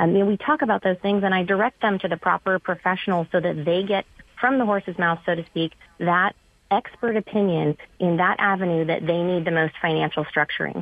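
A woman with an unremarkable speaking voice talks at a medium pitch and very even loudness. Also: ordinary pitch variation, fairly quick pace. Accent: American. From California. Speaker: real estate agent. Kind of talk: casual chat. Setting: phone call.

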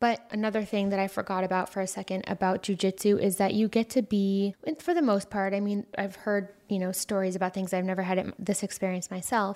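A woman with an American accent speaks at a fairly quick pace and medium pitch in an ordinary speaking voice, with hardly any pauses. The recording is very clean, with a silent background. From United States. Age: 30s. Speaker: podcast host. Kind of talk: solo monologue podcast.

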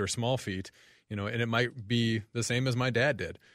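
A man with an American accent and an ordinary speaking voice talks at a fairly quick pace. His medium-pitched delivery keeps a fairly even intonation. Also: quiet background. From US South (Franklin, Tennessee). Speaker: urologist. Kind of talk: radio call-in discussion. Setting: radio studio.

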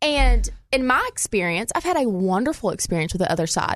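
A woman speaks in a high pitch with a Southern US accent. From Arkansas. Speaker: law student and gun rights activist. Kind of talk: casual chat. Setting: studio.

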